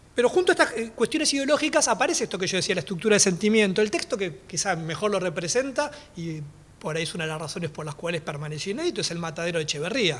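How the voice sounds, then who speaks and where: A man races along at a very fast pace, his high voice making very wide pitch swings. Noticeable background noise sits behind him. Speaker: historian, panelist. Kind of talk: academic talk. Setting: panel talk at a library.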